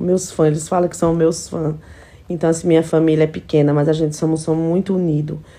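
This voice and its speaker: A woman at a fairly quick pace, with a very deep, low pitch and a dark, mellow tone. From São Paulo, later many years in Alagoas; São Paulo, Brazil. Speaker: household employee and social media influencer; social media influencer. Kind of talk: casual vlog stories. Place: home room. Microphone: phone near.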